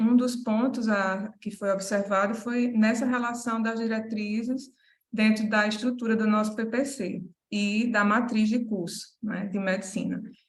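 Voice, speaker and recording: In a Paraíba accent, a woman with a fairly high pitch and a somewhat breathy voice talks at a fairly slow pace with fairly even intonation. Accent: Paraíba (northeastern Brazilian). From Paraíba, Brazil. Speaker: medical school academic manager. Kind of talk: conference presentation. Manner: hesitant, many fillers.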